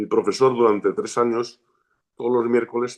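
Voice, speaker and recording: A plain, everyday voice from a man at medium pitch, with fairly even intonation and a fairly quick pace. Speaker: shaman and martial arts teacher. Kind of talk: interview.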